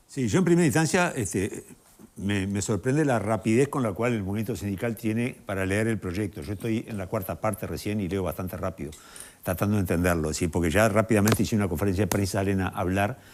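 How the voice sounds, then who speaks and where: With a Rioplatense accent, a man speaks very fast in a fairly low pitch with ordinary pitch variation. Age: 60s. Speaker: TV panelist. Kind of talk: TV panel debate.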